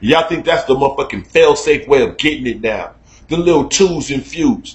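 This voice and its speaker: A man with an American accent, fairly high in pitch, at a fairly quick pace. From Chicago. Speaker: online talk show host. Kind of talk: casual rant. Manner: loud; animated.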